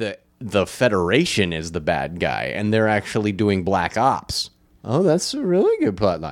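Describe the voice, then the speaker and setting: A man's fairly low voice with vocal fry, at a moderate pace, animated in tone, with very wide pitch swings. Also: very clean recording, silent background. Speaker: podcast host. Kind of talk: casual chat. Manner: animated, joking.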